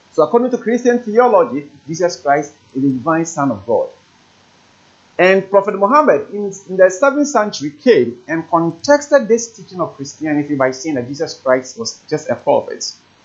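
A man with a high pitch talks at a moderate pace. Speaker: presenter. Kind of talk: religious teaching lecture. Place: studio. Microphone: lapel.

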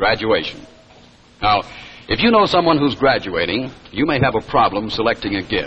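A man's upbeat voice with very wide pitch swings, over noticeable background noise. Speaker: commercial announcer. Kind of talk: vintage 1950s TV commercial pitch, bright salesman patter. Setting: live TV broadcast. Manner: upbeat, polished, persuasive.

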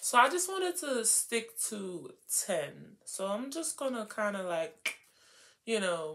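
A woman speaks very slowly, her pitch swinging very widely. Her tone is bright and sharp. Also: fairly high pitch for a woman. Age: 20s. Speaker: lifestyle vlogger. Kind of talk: casual chat. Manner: animated. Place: home room. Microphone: phone near.

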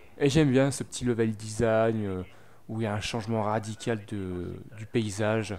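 A man's medium-pitched voice at a moderate pace. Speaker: gaming video maker. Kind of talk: gameplay commentary. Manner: hesitant, many fillers.

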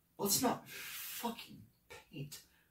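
Over a quiet background, a man speaks at a fairly slow pace with audible room echo. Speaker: actor performing a monologue. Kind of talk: dramatic acting monologue. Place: empty room.

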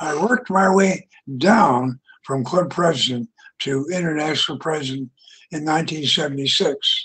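Speaking at a fairly slow pace with an American accent, a man uses ordinary pitch variation and a bright, sharp tone. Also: quiet background. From US West, Utah. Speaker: retired engineer and club speaker; speaker. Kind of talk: prepared speech. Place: home room. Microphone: headset.

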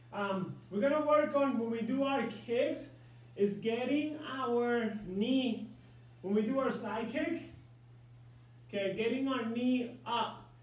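Audible room echo surrounds a man whose pitch is extremely high, with ordinary variation. He speaks at a very slow pace. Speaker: martial arts instructor. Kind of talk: instruction and coaching for an online class. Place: home room. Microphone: camera far.

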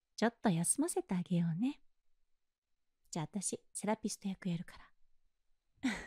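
A woman's medium-pitched, somewhat breathy voice carries a dark, mellow and gentle, soothing tone with ordinary pitch variation, recorded dry and close with no echo. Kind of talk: ASMR role-play, whispered comforting girlfriend-style sleep aid with guided relaxation. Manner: soft, gentle, soothing whisper with a slow, coaxing pace; affectionate and teasing, with occasional light laughs.

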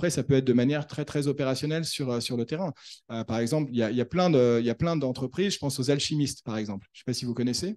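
Speaking at a very fast pace, a man talks at a medium pitch. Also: ordinary pitch variation. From Paris, France. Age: 30s. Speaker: author and doctoral researcher, former entrepreneur. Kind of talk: conference talk with Q&A. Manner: hesitant, many fillers and repetitions.

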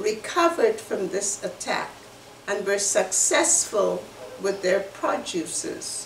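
A woman speaks at a very slow pace with lively intonation, with light background noise and audible room echo. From Guyana. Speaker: human rights activist and community association member. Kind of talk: educational presentation. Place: home room. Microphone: webcam.

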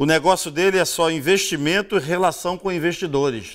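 Against a quiet background, a man with a Rio de Janeiro accent speaks at a high pitch with lively intonation. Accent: Rio de Janeiro Brazilian Portuguese. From Rio de Janeiro state, Brazil. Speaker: TV news show host. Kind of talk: TV news commentary. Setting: studio. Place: studio.

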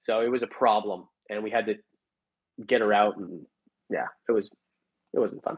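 In a quiet background, a man talks at a moderate pace, his fairly low pitch following fairly even intonation. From Canada. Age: 30s. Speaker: reptile breeder and YouTuber; YouTuber. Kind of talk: live stream chat. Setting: live stream from home. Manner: rambling, off-the-cuff. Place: home room. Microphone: earbuds.

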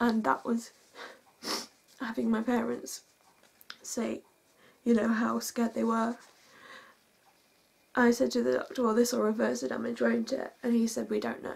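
A woman talks at a moderate pace. Her pauses are long and frequent. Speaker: vlogger telling a personal story. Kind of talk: emotional storytime vlog. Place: home room.

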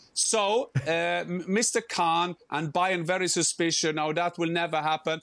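A man's high voice, dry with no echo, over a quiet background. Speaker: remote football pundit. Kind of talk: interview answer. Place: home room. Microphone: earbuds.

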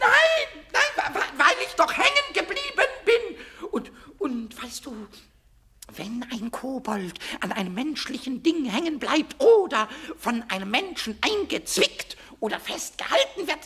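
A man puts on a character voice, pitched extremely high and delivered fairly slowly. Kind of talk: children's audio drama. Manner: excitable, stammering.

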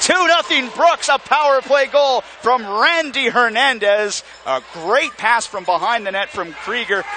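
The voice makes very wide pitch swings over noticeable background noise. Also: man. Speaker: hockey play-by-play announcer. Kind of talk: live hockey play-by-play commentary. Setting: arena broadcast booth. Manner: rapid-fire, staccato calls building to excited goal shouts; relaxed, chatty asides to co-commentator between plays.

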